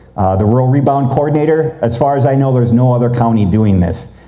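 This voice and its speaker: A man talks at a fairly quick pace in a medium pitch with ordinary pitch variation. Noticeable background noise and audible room echo are present. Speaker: rural policy researcher, presenter. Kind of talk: conference presentation. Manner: fast; casual, conversational.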